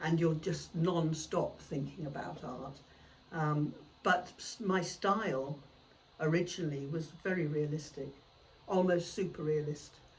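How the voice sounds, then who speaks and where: A woman speaks with a very deep, low pitch and fairly even intonation. Her pace is fairly slow, with noticeable background noise. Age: 70s. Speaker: artist. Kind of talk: podcast interview. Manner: hesitant, many fillers.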